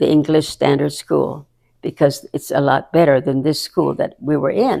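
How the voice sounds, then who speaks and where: A woman talks with a tone that is dark and mellow. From Hawaii. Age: 80s+. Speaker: community advocate and entrepreneur. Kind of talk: interview answer.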